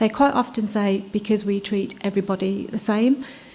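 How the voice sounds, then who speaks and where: This is a woman's voice. She is soft-spoken. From United Kingdom. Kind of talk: conference talk. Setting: conference stage with audience.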